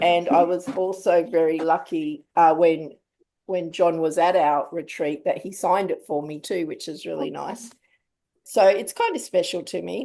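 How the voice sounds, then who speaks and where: In a strong Australian accent, a woman speaks at a moderate pace and a fairly low pitch, her tone dark and mellow, her pitch variation ordinary and her loudness swinging widely. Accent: broad Australian. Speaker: writing group host. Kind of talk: casual book club discussion. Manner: casual, relaxed.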